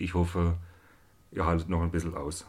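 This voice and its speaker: The man's voice sits at a very deep, low pitch. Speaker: podcast host, electrical engineer. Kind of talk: monologue introduction. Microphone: new recorder and two expensive microphones.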